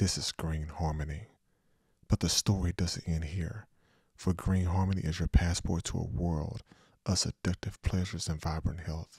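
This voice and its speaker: Speaking at a moderate pace, a man with a very deep, low pitch sounds somewhat breathy, his intonation fairly even, in a dry, close recording with no echo that is very clean with a silent background. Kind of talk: seductive commercial voice-over, parody-style ad read. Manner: smooth, polished, intimate ad-announcer delivery.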